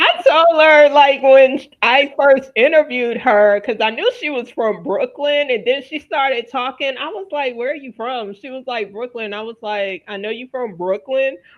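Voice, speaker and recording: Speaking at a moderate pace with hardly any pauses, a woman with an American accent uses a high pitch, ordinary pitch variation and big swings in loudness. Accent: Southern accent, largely trained away. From Louisiana, US South. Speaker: wellness show host. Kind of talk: panel discussion.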